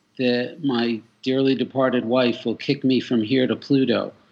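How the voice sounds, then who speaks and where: With an American accent, a man speaks fairly slowly at medium pitch in an ordinary speaking voice. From Boston area, Massachusetts. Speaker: musician and fundraiser guest. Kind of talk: casual interview chat.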